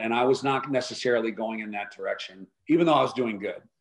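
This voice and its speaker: This is a plain, everyday voice. The pace is fairly quick. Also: man. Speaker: wealth advisory firm founder. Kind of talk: interview.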